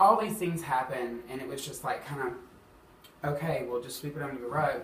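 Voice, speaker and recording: Over noticeable background noise and audible room echo, a man with an Alabama accent talks at a fairly quick pace and fairly high pitch, with ordinary pitch variation and big swings in loudness. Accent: Southern US (Alabama). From US South, Huntsville, Alabama. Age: 20s. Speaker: drag performer sharing bullying story. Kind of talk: personal testimony interview. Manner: casual, many fillers (um, like).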